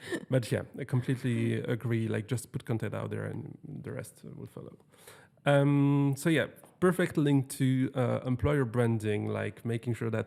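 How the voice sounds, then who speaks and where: In a French accent, a man speaks at a moderate pace with big swings in loudness. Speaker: podcast host. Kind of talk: podcast interview. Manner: halting.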